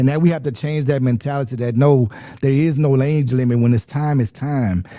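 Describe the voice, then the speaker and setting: With a Louisiana accent, a man speaks in a dark, mellow tone at a fairly quick pace. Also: medium pitch for a man, fairly even intonation. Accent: southern US (Louisiana). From Louisiana, Lafayette. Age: 40s. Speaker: state legislator. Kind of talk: interview.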